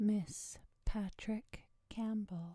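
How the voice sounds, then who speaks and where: Speaking at a very slow pace, a woman sounds somewhat breathy and relaxed in tone, her intonation fairly even. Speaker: ASMR creator. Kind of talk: ASMR quote reading, bedtime listening. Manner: soft-spoken, relaxed.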